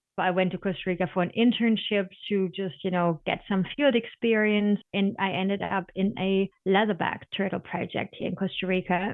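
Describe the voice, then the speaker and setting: With a German accent, this woman talks at a medium pitch. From Germany. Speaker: sea turtle biologist. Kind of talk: interview. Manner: passionate.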